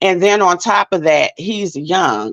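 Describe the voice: A woman with a fairly low pitch and a fairly bright tone talks at a slow pace with lively intonation in a dry, close sound with no echo.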